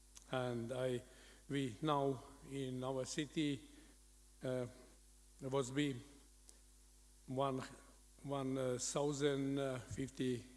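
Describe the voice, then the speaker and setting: Speaking in a Latvian accent, a man talks very slowly in a monotone, flat intonation with long, frequent pauses and audible room echo. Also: medium pitch for a man. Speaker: city mayor. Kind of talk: conference presentation. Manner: halting.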